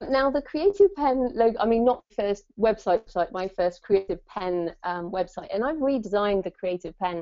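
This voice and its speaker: A woman speaks at a moderate pace with lively intonation, a medium pitch and an unremarkable speaking voice. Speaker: author and webinar host. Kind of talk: webinar presentation. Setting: online webinar.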